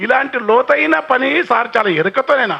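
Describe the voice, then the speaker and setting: Noticeable background noise runs through the clip. Over it, a man speaks in a raised, projected voice. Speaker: poet and folk singer. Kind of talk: public speech on cultural heritage.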